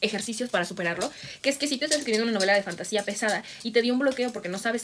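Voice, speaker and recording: Noticeable background noise sits behind a woman speaking at a very fast pace with a fairly high pitch. Her tone is animated, with ordinary pitch variation. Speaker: booktuber and writer. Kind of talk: tutorial. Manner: casual, animated.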